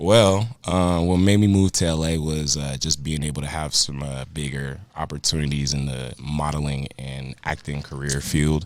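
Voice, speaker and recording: Over noticeable background noise, a man with an American accent and a very deep, low voice speaks at a moderate pace with ordinary pitch variation and hardly any pauses. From Denver, Colorado. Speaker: rapper and model. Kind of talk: casual interview.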